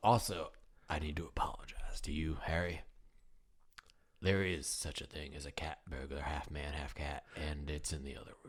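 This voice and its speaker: A man's put-on character voice, raspy and very deep, at a moderate pace with big swings in loudness. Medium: actual play. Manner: gruff, blunt, folksy.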